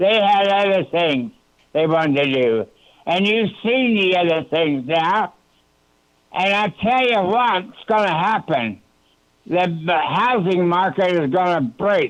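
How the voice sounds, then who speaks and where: A man at a high pitch, very slow pace, lively intonation and very even loudness. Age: 80s+. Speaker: caller, war veteran. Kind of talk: public comment. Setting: phone call.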